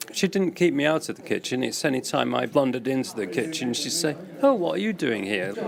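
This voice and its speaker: A man at a very fast pace with very wide pitch swings, amid noticeable background noise. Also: medium pitch for a man. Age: 80s+. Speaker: cooking class participant. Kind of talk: radio interview. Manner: halting.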